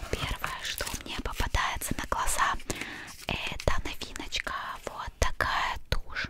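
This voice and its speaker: A woman's whispering at a fairly slow pace, with noticeable background noise. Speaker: ASMR creator. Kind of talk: ASMR unboxing. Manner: whispered.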